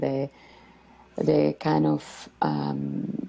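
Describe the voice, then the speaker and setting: A woman with a Colombian accent and very wide pitch swings, amid noticeable background noise. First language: Spanish. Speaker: community member, former refugee. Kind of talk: interview. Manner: halting, many fillers.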